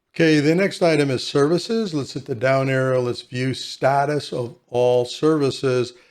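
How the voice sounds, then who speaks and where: A man speaks in a normal speaking voice at fairly high pitch with ordinary pitch variation. His pace is moderate, with hardly any pauses. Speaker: software tutorial creator. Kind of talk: tutorial. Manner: casual.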